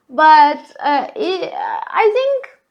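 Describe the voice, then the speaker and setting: Woman with a Portuguese accent against a quiet background. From Portugal. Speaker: solo podcaster. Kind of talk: casual monologue. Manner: loud; halting, many fillers.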